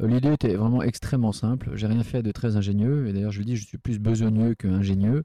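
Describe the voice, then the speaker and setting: A man with a fairly low pitch and a dark, mellow tone is heard in dry, close sound with no echo against a quiet background. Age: 40s. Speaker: restaurant entrepreneur. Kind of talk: casual chat. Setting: in a restaurant. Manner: halting.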